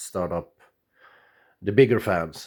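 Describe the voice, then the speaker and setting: The man talks at a fairly slow pace, captured on a very clean recording with a silent background. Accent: Swedish. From Sweden. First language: Swedish. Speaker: radio amateur. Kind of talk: tutorial. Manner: halting, many fillers.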